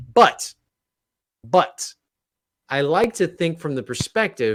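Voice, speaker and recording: A man's voice swings very widely in pitch. The recording is very clean, with a silent background. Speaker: gaming streamer co-host. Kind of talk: casual chat. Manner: stuttering at times.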